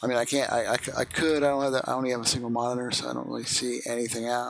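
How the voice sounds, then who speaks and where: A soft-spoken man mumbles at a very fast pace. His intonation is monotone and flat, at a medium pitch. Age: 50s. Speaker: video game streamer. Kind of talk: live gameplay stream commentary. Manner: mumbling.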